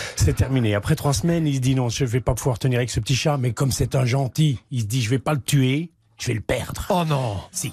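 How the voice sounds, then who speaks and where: Through noticeable background noise, a man speaks very fast in a fairly high pitch. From Belgium. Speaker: comedian. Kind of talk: joke telling.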